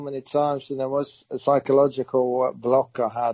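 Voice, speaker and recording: With a Norwegian accent, a man speaks at a moderate pace in a fairly high pitch. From Norway. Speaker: retired footballer. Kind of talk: interview.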